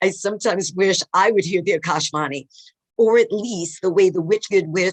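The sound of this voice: Over a quiet background, an unforced reading voice moves with ordinary pitch variation.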